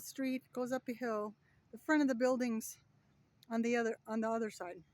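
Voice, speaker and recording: The voice is loud and moves at a moderate pace. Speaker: travel vlogger. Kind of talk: casual vlog walkthrough. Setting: outdoors. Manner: loud outdoor voice; casual with fillers.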